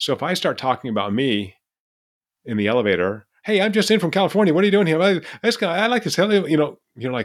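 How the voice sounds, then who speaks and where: Talking very fast with an American accent, a man with a fairly high voice, vocal fry and very wide pitch swings is heard in a very clean recording with a silent background. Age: 60s. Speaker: behavioral neuroscientist and professor. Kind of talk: casual interview.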